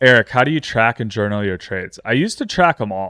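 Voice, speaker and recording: A man speaks with an American accent and a bright, sharp tone. The recording is very clean, with a silent background. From upstate New York. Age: 30s. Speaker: trading livestreamer. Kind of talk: casual livestream chat. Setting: livestream.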